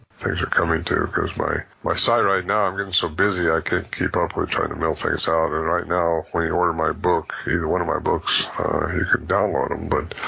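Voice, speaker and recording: Fairly quick and monotone, with flat intonation and very even loudness, the speech plays over noticeable background noise. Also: man, very deep, low pitch for a man. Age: 70s. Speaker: bigfoot researcher and author. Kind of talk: interview. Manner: halting.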